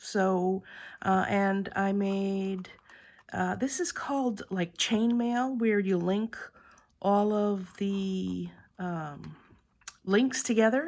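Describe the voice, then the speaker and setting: A woman's medium-pitched voice with ordinary pitch variation, at a very slow pace with long, frequent pauses. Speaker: craft video creator. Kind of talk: tutorial. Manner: hesitant, many fillers.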